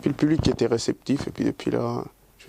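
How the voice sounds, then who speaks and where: This man speaks with a Spanish accent. His pace is moderate. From Dominican Republic, grew up in Switzerland. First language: Spanish (speaking French). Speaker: singer. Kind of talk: interview. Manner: hesitant, many fillers and repetitions.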